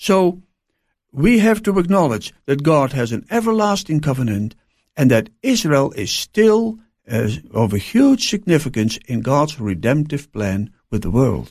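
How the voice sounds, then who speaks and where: A man speaks fairly slowly at a fairly high pitch in a somewhat breathy voice, with very wide pitch swings. The recording is very clean, with a silent background. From Netherlands. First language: Dutch. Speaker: pastor. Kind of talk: interview. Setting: studio. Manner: halting.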